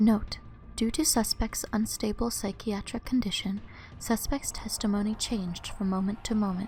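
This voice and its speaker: Soft-spoken delivery moves at a moderate pace. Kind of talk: ASMR soft-spoken reading of game notes.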